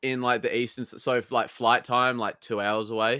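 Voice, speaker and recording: A man at medium pitch with a slight Australian accent. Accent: mild Australian. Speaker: podcast guest. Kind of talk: casual chat.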